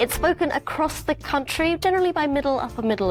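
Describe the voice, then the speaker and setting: Someone talks at a fairly quick pace while music plays in the background. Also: woman. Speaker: video host, presenter.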